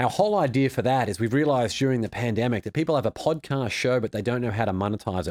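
A man with an Australian accent speaks at a very fast pace, at medium pitch with ordinary variation and hardly any pauses. The recording is very clean and dry, close with no echo, over a silent background. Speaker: author and former financial advisor. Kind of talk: interview.

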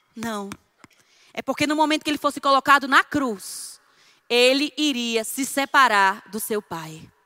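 At a fairly slow pace, a woman with a high, bright, sharp voice speaks in a raised, projected way with lively intonation and big swings in loudness, in a dry, close recording with no echo. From Northeast Brazil. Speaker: preacher. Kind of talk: sermon. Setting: church.

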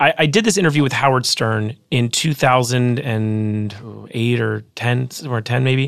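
With an American accent, an ordinary speaking voice shows ordinary pitch variation. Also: man, medium pitch for a man, moderate pace. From Los Angeles, California. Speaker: author and former rapper. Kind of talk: casual interview.

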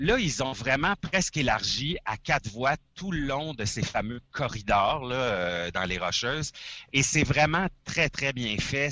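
A man's very slow speech with vocal fry, in a Quebec accent. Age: 40s. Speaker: trucker, former radio host. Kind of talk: casual chat.

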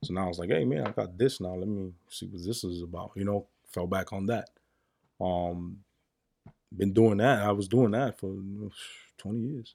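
A man speaks with a fairly low pitch in a dark, mellow tone. He leaves long, frequent pauses. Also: ordinary pitch variation, moderate pace. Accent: New York. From New York, the Bronx. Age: 30s. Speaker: car parts business owner. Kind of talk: casual chat.

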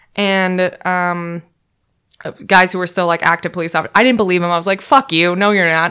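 A woman with an American accent speaks at a fairly quick pace and medium pitch. The recording is very clean, with a silent background. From US Midwest. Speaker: podcast guest. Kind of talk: casual chat. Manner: animated.

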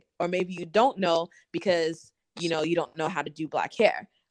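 A woman with an ordinary speaking voice and an American accent, medium pitch, moderate pace, dry, close sound with no echo, and a quiet background. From Massachusetts. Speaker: influencer and model. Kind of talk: casual chat.

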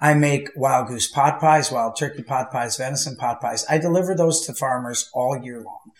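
The voice has an American accent and lively intonation. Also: man. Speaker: goose hunter. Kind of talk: casual chat. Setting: studio.

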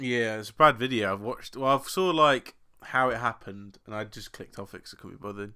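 The speaker, with an English accent, talks at a very fast pace in a bright, sharp tone with ordinary pitch variation and big swings in loudness. The recording is very clean, with a silent background. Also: man, medium pitch for a man. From England. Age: 20s. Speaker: podcast co-host. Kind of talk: casual chat.

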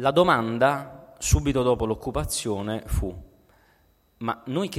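The man speaks at a very slow pace. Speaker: political philosophy scholar and activist. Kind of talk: lecture.

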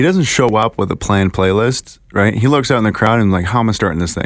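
Speaking in a plain, everyday voice, a man uses a fairly low pitch with ordinary pitch variation. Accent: Canadian. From Ontario, Canada (Kitchener). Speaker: podcast host. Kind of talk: casual chat.

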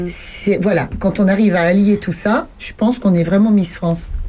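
A woman's voice comes through with noticeable background noise. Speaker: radio co-host. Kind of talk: casual chat. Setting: studio. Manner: animated.

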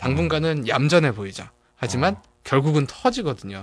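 Against a quiet background, a man with a fairly high-pitched voice speaks at a moderate pace with very wide pitch swings. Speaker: psychologist. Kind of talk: casual chat.

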